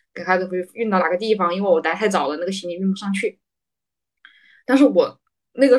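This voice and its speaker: Very fast speech from a woman, medium in pitch, with ordinary pitch variation. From Hubei, China. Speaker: podcast co-host, medical industry worker. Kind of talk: casual chat.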